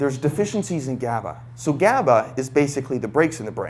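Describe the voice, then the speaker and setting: A man speaks in an animated tone with vocal fry and ordinary pitch variation. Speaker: brain training coach giving a talk. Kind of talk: live talk to audience. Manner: fast.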